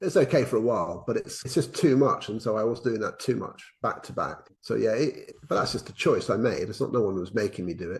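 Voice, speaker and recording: Speaking at a very fast pace, a man talks with a southern English accent. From England. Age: 60s. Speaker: educational consultant and former headteacher. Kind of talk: casual interview chat. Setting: remote call. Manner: hesitant, with frequent repetitions.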